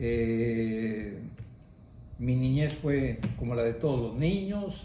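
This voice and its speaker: Amid noticeable background noise and audible room echo, a man speaks very slowly at a medium pitch with ordinary pitch variation. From Mexico, Orizaba, Veracruz. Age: 70s. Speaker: parishioner giving testimony. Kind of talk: testimony. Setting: family home.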